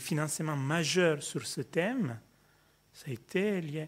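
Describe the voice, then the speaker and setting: A man speaks with an Italian accent. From Italy. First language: Italian (speaking French). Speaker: sociology professor. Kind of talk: panel discussion. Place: hall.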